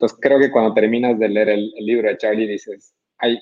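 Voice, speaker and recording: A man speaks at a medium pitch and a moderate pace. His intonation stays monotone and flat. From Bolivia, Cochabamba. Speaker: tech entrepreneur. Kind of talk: book review presentation. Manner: halting, frequent repetitions.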